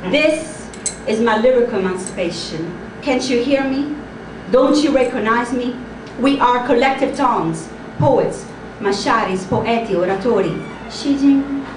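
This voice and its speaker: Over noticeable background noise and audible room echo, a high-pitched woman speaks at a fairly slow pace with ordinary pitch variation and long, frequent pauses. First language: not English. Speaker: slam poet. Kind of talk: spoken word performance. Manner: loud; precise pronunciation.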